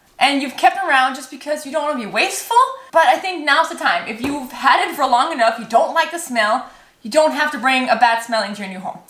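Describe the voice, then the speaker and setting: Noticeable background noise surrounds a woman speaking at a moderate pace. Her pitch is high, and her intonation is lively. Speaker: home organizing YouTuber. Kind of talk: casual chat.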